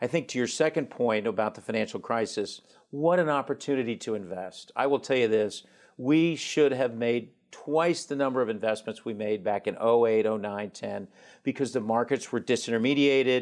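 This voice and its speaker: Here is an unremarkable speaking voice from a man at medium pitch, with ordinary pitch variation. He keeps a moderate pace against a quiet background. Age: 50s. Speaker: private equity investor. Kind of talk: interview.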